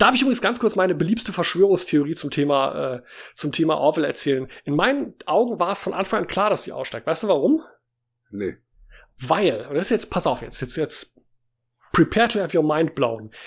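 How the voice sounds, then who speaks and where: A man with a high pitch speaks fairly quickly, his pitch swinging very widely, with long, frequent pauses. The recording is very clean, with a silent background. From Germany, Baden-Baden. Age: 50s. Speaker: podcast co-host. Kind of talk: casual chat.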